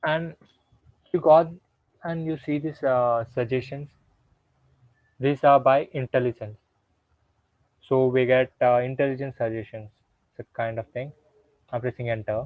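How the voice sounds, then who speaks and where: A man at medium pitch uses fairly even intonation and leaves long, frequent pauses. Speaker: coding workshop instructor. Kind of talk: live coding tutorial. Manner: deliberately slow, medium pace.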